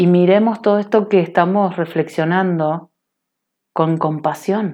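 Her pitch fairly low and its variation ordinary, a woman speaks at a very slow pace. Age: 30s. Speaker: online radio host, personal growth. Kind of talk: solo radio monologue, spiritual self-help. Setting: home online radio stream. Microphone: internet connection kept cutting out.

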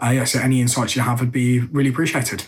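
A man's somewhat breathy, medium-pitched voice with an English accent. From England. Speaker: listener submitting question, sales and marketing worker. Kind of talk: recorded question.

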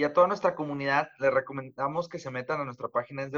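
The man speaks at a very fast pace with a fairly high pitch. His intonation stays fairly even. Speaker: podcast co-host. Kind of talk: casual chat.

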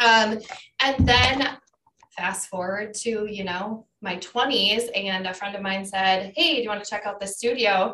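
The speaker has an Upper Midwest accent and a bright, sharp tone. The pace is fairly slow. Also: woman, medium pitch for a woman, ordinary pitch variation. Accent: Upper Midwest American. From Wisconsin, La Crosse area. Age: 40s. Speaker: fitness instructor and county clerk of court. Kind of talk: casual interview chat.

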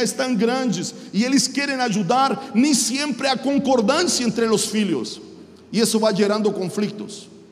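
Speaking at a fairly slow pace in an extremely high pitch, a man is heard over noticeable background noise with audible room echo. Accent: strong Chilean. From Chile. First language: Spanish (speaking Portuguese). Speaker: pastor. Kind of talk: sermon.

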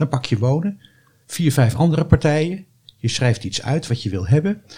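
At a fairly quick pace, a man talks in a dark, mellow, somewhat breathy tone with lively intonation. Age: 70s. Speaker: retired doctor and former local councillor. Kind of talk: podcast interview.

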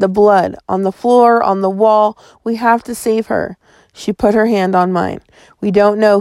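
Over a quiet background, an unforced reading voice keeps its intonation fairly even.

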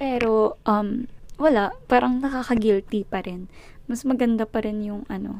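Her loudness swings widely as a woman speaks at a fairly high pitch with fairly even intonation. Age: 20s. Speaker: podcast host. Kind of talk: casual monologue. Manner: halting.

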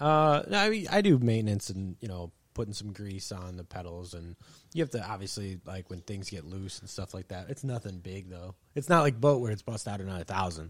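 In an American accent, a man talks at a fairly quick pace with lively intonation and big swings in loudness. The recording is very clean, with a silent background. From Michigan. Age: 20s. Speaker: angler, kayak fisherman. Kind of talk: casual chat. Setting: garage.

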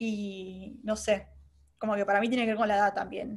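Moderate pace, monotone and flat intonation, from a woman pitched at a medium level. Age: 20s. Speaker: advertising professional. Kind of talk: casual interview chat.

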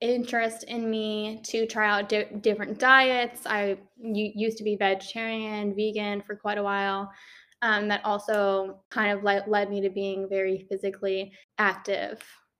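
A woman with an American accent speaks at a moderate pace in a fairly high, monotone voice with flat intonation. The recording is very clean, with a silent background. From Maryland, US. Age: 20s. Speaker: personal trainer and fitness instructor. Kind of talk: casual interview. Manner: chatty.

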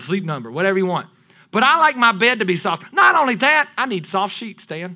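A man's high, bright, sharp voice, raised and projected, with very wide pitch swings on a very clean recording with a silent background. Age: 30s. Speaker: pastor. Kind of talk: sermon. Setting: church. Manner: animated.

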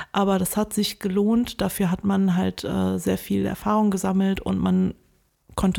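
On a very clean recording with a fully silent background, a woman talks at a middling speed. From Germany, Wuppertal. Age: 30s. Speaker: filmmaker. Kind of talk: interview.

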